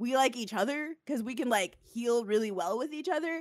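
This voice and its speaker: The voice is loud and bright, with a sharp tone and very wide pitch swings. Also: woman. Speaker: podcast host. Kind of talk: casual chat.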